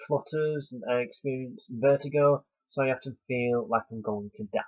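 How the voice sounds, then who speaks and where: This man's medium-pitched voice, rising and falling in an ordinary way, moves fairly slowly. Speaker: vlogger. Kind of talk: personal advice vlog. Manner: halting.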